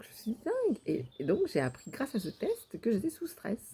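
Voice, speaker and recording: A woman's dark, mellow, somewhat breathy voice at a moderate pace. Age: 60s. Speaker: vlogger. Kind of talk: personal video diary. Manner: halting, many hesitations.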